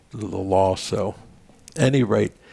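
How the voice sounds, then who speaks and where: A man talks with an American accent and vocal fry. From Maryland, US (Baltimore area). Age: 80s+. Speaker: veterans' organization leader and storyteller. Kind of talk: casual interview chat.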